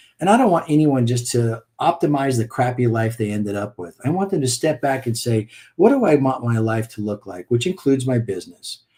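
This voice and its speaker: Somewhat breathy and dark, mellow in tone, a man talks at a fairly quick pace with a medium pitch and lively intonation. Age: 60s. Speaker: business coach. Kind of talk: podcast interview.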